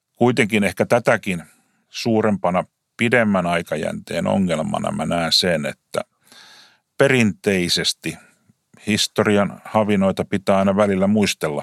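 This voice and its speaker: A man with a plain, everyday voice. He talks at a fairly slow pace. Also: fairly low pitch for a man, ordinary pitch variation, dry, close sound with no echo, very clean recording, silent background. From Finland, Lahti. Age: 50s. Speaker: taxi company CEO. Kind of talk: interview.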